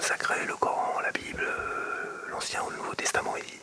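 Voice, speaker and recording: The speaker is whispering. Noticeable background noise can be heard. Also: man. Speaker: former politician, former party spokesperson. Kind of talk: whispered interview answer. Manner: whispered, hushed.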